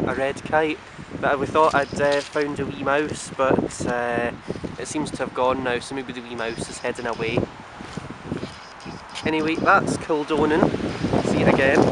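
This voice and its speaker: Over loud background noise, a man talks at a moderate pace with long, frequent pauses, in a dry sound with no echo. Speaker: holiday videographer. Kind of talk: casual holiday video narration. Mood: cheerful, relaxed. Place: waterside. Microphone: phone near.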